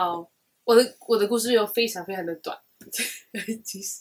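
A woman speaks in a Taiwanese accent at a fairly slow pace. Her pitch varies in an ordinary way. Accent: Taiwanese Mandarin. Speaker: podcast co-host. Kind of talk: casual chat.

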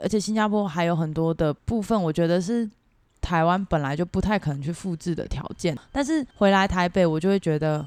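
Talking at a fairly quick pace, a woman with a fairly low pitch and ordinary pitch variation has an unremarkable speaking voice. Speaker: Taiwanese expat working in Singapore. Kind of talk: casual interview chat.

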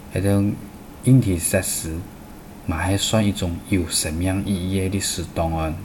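Amid noticeable background noise and audible room echo, a man with a very deep, low pitch speaks at a fairly slow pace with fairly even intonation and long, frequent pauses. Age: 50s. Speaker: radio program host. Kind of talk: scripted narration.

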